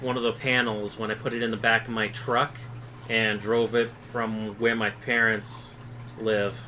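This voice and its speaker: Noticeable background noise sits behind a man speaking in an American accent. His medium-pitched voice is monotone and flat, at a fairly slow pace. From Massachusetts, Boston area. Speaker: fishkeeping YouTuber. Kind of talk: live stream Q&A. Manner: slurred; mispronounces words.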